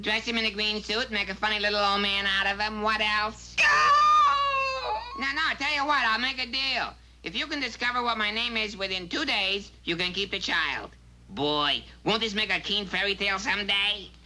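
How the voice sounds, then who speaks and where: Shouting in a cartoonish character voice, a female-sounding speaker at medium pitch keeps a moderate pace over clear background noise. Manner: eager, breezy.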